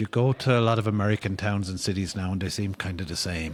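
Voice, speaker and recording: Over noticeable background noise, a man with an Irish accent talks fairly quickly at a fairly low pitch. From Ireland. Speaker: novelist. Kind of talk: podcast interview answer.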